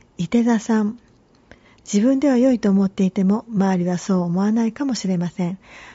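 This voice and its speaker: A woman talks at a moderate pace in a medium pitch, with ordinary pitch variation. Her voice is somewhat breathy. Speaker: tarot reader and podcast host. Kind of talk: scripted-style tarot and horoscope reading. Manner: formal, polite, measured.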